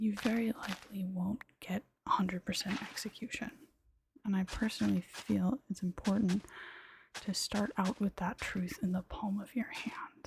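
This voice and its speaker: A woman whispers, soft-spoken. The sound is dry and close, with no echo. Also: moderate pace. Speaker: ASMR creator. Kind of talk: ASMR soft-spoken gaming commentary. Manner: soft-spoken, whispered.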